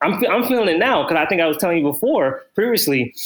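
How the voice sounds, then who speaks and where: A normal speaking voice with lively intonation at a fairly quick pace, on a very clean recording with a silent background. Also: man. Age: 30s. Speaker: fitness trainer. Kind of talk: casual chat.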